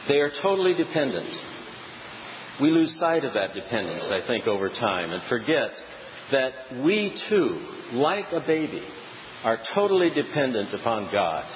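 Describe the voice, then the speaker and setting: A man's fairly high voice at a moderate pace, with very wide pitch swings, long and frequent pauses, audible room echo and noticeable background noise. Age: 60s. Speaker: preacher. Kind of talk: sermon. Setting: church.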